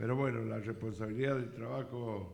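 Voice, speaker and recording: Fairly low-pitched, somewhat breathy male voice at a moderate pace, with audible room echo. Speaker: radio host. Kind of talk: radio interview.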